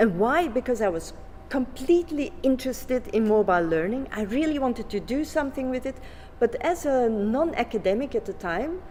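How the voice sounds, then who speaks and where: A woman speaks at a fairly quick pace in a high pitch, with very wide pitch swings and a non-native accent. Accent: non-native English speaker. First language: Flemish. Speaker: education researcher. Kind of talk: conference presentation. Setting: conference. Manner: halting, with many fillers.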